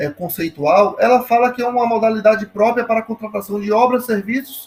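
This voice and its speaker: A man's high-pitched voice. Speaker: law professor. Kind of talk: lecture.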